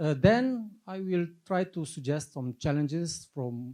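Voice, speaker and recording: Dark, mellow tone in a fairly high-pitched male voice. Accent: Russian. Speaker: army officer and lecturer. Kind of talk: conference presentation.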